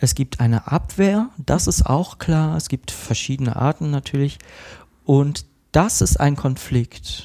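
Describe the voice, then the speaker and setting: A man's somewhat breathy, dark and mellow voice, very slow, with ordinary pitch variation and a dry, close sound with no echo. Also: fairly high pitch for a man. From Cologne, Germany. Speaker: psychotherapist in training. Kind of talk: casual interview.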